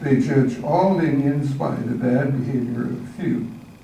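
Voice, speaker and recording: A man with an American accent speaks in a fairly high pitch. Audible room echo and noticeable background noise surround his voice. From Arizona, Apache reservation. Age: 90s. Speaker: church member telling life story. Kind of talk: personal testimony, read from prepared text. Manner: halting, self-correcting.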